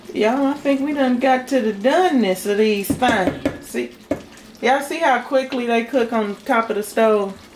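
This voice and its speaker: Over noticeable background noise, a woman talks at a moderate pace and a high pitch. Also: ordinary pitch variation. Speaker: home cooking channel host. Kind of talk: casual cooking tutorial. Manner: animated.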